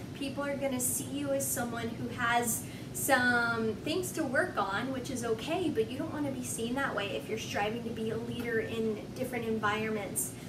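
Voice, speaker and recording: The speech runs at a moderate pace with hardly any pauses and very wide pitch swings. Audible room echo and noticeable background noise fill the recording. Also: woman, fairly high pitch for a woman. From Texas and Oklahoma. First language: Spanish. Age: 20s. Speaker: lifestyle vlogger. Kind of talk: motivational vlog monologue. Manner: energetic.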